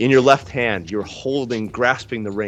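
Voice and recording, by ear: Natural-voiced reading aloud.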